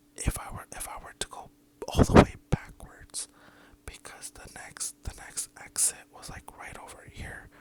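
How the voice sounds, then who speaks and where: The speaker whispers at a fairly slow pace. Noticeable background noise can be heard. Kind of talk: asmr story time. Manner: whispered.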